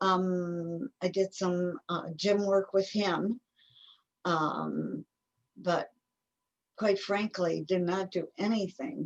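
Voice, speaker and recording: A woman with an American accent at a medium pitch, very slow, with long, frequent pauses, ordinary pitch variation and a dry, close sound with no echo. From Ohio, US (Garfield Heights). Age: 80s+. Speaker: active older adult. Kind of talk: interview.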